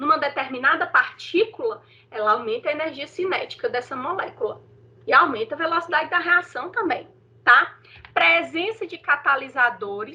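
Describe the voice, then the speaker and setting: A woman projects a raised, high-pitched voice with a bright, sharp tone. Both her loudness and her pitch swing very widely. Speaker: teacher. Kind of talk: online lecture.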